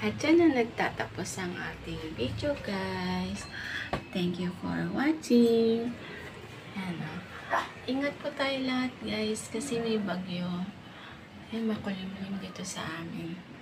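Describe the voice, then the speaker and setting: A woman speaks very slowly with lively intonation. Noticeable background noise runs underneath. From Philippines. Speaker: cooking vlogger. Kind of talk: cooking vlog. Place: home room. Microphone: phone near.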